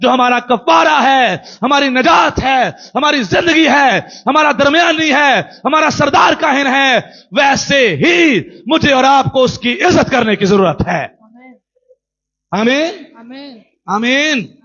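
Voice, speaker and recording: A man's extremely high pitch, lively intonation and very even loudness. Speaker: pastor. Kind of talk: sermon preaching to a congregation.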